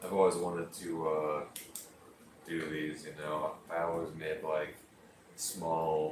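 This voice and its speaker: A man speaks at a very slow pace in a relaxed tone. Audible room echo and noticeable background noise are present. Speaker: livestreamer building Lego. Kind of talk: casual livestream chat. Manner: relaxed, hesitant with fillers.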